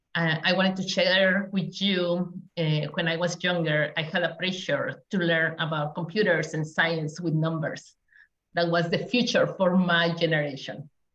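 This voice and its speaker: A woman's fairly low voice with fairly even intonation and a Spanish accent. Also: moderate pace. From Mexico. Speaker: community engagement specialist. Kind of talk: panel talk.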